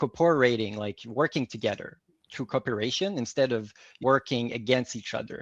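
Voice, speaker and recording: A man with a Quebec accent and a medium-pitched voice, recorded dry and close with no echo against a quiet background. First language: French. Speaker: organizational psychology advisor. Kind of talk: fireside chat interview.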